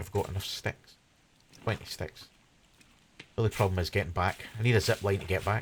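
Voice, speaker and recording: A man with a Scottish accent speaks at a fairly quick pace and a fairly low pitch, with fairly even intonation. His voice is somewhat breathy, broken by long, frequent pauses. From Scotland, Glasgow. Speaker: gaming streamer. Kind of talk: live stream gameplay commentary. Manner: casual, hesitant with fillers.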